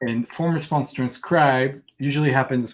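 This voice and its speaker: A man speaks with a French accent. His intonation stays fairly even. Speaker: developer live-coding host. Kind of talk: live coding stream chat.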